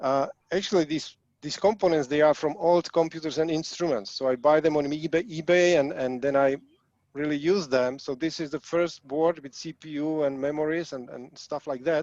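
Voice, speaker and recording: A man speaks with a Czech accent at a fairly high pitch and a moderate pace. His intonation stays fairly even, and the sound is dry and close, with no echo. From Czechoslovakia. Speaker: hobbyist programmer. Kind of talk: presentation. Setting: video call.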